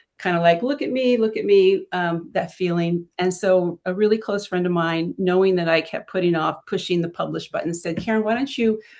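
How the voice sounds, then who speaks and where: A woman with a plain, everyday voice speaks at a medium pitch and a fairly quick pace, with hardly any pauses, against a quiet background. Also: ordinary pitch variation. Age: 60s. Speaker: fashion and beauty blogger. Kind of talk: casual chat.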